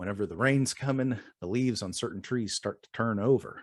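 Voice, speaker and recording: A man speaks at a fairly quick pace with fairly even intonation. He has an ordinary speaking voice. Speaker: single dad and DDPY community member. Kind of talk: interview answer.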